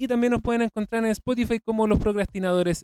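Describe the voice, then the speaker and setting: With a Chilean accent, a man talks in a dark, mellow tone, the sound dry and close with no echo. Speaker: podcast host. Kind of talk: casual chat.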